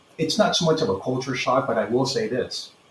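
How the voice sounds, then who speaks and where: With clear background noise present, a man talks rather quickly. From Peru, then San Fernando Valley, California. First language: Spanish. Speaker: retired police sergeant. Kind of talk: interview.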